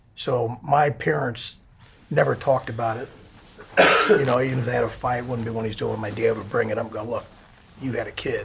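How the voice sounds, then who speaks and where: A man with an American accent talks at a fairly quick pace, with long, frequent pauses and noticeable background noise. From Texas, then St. Louis. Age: 60s. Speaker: interviewee telling life story. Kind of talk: life story interview. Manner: conversational.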